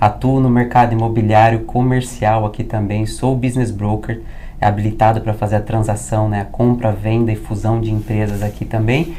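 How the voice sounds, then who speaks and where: A man with fairly low pitch speaks at a moderate pace in a monotone, flat intonation. Noticeable background noise and audible room echo surround him. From Brazil. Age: 30s. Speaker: business broker and consultant. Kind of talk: interview conversation. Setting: recording in Orlando, Florida.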